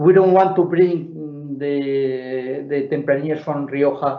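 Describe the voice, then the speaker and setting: Talking very slowly with a Spanish accent, a man has a fairly high voice with ordinary pitch variation. The room echo is audible. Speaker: winemaker. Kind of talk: live Q&A at online wine tasting. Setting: video call. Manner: halting, many fillers and repetitions.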